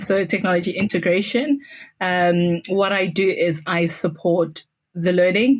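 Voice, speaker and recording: A medium-pitched woman with a South African accent. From South Africa, Pretoria. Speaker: school technology integrator. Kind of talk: podcast interview.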